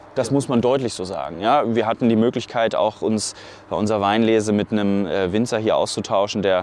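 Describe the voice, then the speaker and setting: Fairly quick, medium-pitched speech from a man, with ordinary pitch variation. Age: 30s. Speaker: wine cellar master, former winemaker. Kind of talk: casual interview. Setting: outdoors on a vineyard. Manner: hesitant, with many fillers.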